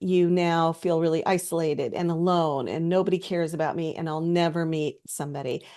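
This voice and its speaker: Against a quiet background, a woman with a plain, everyday voice speaks at a moderate pace and a fairly low pitch. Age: 50s. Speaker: mental health content creator. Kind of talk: direct-to-camera talk. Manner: conversational, with fillers.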